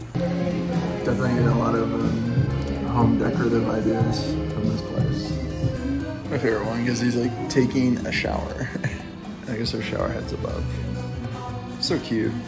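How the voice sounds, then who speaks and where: Loud music plays in the background. A man speaks at a moderate pace with long, frequent pauses. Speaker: vlogger. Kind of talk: casual vlog chat. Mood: playful, amused. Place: cafe. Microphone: phone near.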